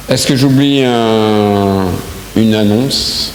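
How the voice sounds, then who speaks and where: A man's very slow voice, fairly low in pitch with ordinary pitch variation, amid noticeable background noise and audible room echo. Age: 60s. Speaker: church leader giving announcements. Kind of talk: church announcements. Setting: church service. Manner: halting, many hesitations.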